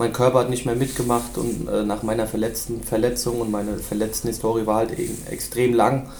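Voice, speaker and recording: Amid noticeable background noise and audible room echo, a man with a medium pitch talks at a fairly quick pace with hardly any pauses and monotone, flat intonation. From Germany, Rhein-Main area (Hesse). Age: 20s. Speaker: former footballer, scout and assistant coach. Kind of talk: podcast interview.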